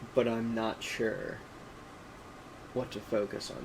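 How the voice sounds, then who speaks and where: With noticeable background noise behind him, a man speaks at a medium pitch with an Appalachian accent. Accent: general American, native Appalachian English. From Appalachia, US. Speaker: streamer. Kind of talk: casual live stream chat with reading aloud. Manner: halting, many fillers.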